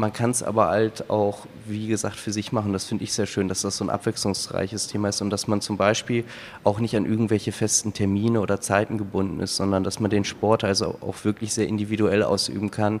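This man's voice sits fairly low in pitch. He talks at a fairly quick pace in a monotone, flat intonation. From Hamburg, northern Germany. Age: 30s. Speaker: amateur boulderer and engineer. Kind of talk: interview.

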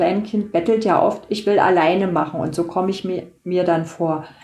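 A woman speaks at a medium pitch and a moderate pace. Audible room echo surrounds her voice. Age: 60s. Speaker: patient with multiple sclerosis, blogger. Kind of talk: casual interview.

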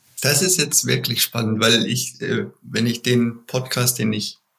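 The man speaks at a moderate pace in a medium pitch. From Bavaria, Germany. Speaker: management consultant. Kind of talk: interview. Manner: halting, many fillers.

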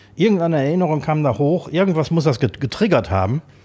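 The man's voice has a dark, mellow tone, captured in a very clean recording with a silent background. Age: 50s. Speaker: podcast co-host, chef/restaurateur. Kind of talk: casual chat. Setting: studio, sitting across from co-host.

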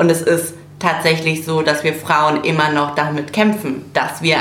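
A woman with a very deep, low pitch speaks at a fairly slow pace amid noticeable background noise. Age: 20s. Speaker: political volunteer from fashion industry. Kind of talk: casual chat.

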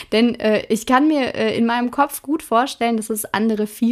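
In an unremarkable speaking voice, a woman talks at a moderate pace with a fairly high pitch and ordinary pitch variation on a very clean recording with a silent background. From Ruhr area, Germany (Hagen). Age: 20s. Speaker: craft podcaster and product demonstrator. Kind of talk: casual tutorial-style monologue. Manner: chatty, informal, with fillers.

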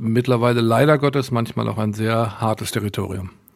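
This man has a plain, everyday voice, a medium pitch and ordinary pitch variation. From Westphalia, Germany (Münster). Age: 60s. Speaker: concert promoter and booking agency owner. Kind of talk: interview.

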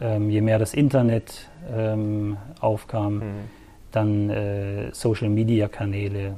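Speech moves at a very slow pace, broken by long, frequent pauses, in a monotone, flat intonation. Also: man, fairly low pitch for a man. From northern Germany, rural Lower Saxony between Hamburg and Bremen. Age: 40s. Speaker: local sports journalist. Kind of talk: casual interview.

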